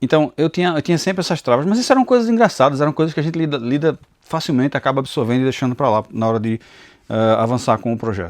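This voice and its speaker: A man's speech races along very fast. The intonation is lively. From Pernambuco, Brazil (Recife and interior). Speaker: Bible teacher and YouTuber. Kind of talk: personal testimony. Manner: halting, repeats words.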